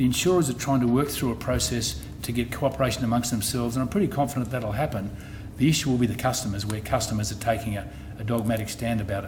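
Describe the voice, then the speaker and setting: A man at a very fast pace, medium pitch and ordinary pitch variation, with audible room echo. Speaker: insurance company executive. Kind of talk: public presentation to customers. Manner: halting, with frequent repetitions and restarts.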